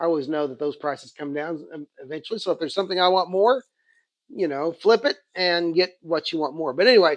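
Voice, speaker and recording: Against a quiet background, this voice talks very fast in an Oklahoma accent with ordinary pitch variation. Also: man, high pitch for a man. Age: 50s. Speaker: comic book and toy collector, YouTuber. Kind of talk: casual haul video monologue. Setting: sitting on home couch. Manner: halting, many fillers and restarts.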